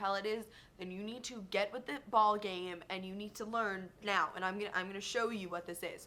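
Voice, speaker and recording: The voice has an animated tone. It moves along at a fairly quick pace. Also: woman. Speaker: beauty vlogger. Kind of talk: casual product review vlog. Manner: fast. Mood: chatty, enthusiastic. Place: home room. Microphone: webcam.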